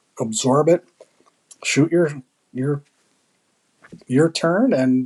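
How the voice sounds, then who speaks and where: A man's fairly high-pitched voice with ordinary pitch variation, dry and close with no echo. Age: 60s. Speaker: military veteran and amateur sport shooter. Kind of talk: casual chat.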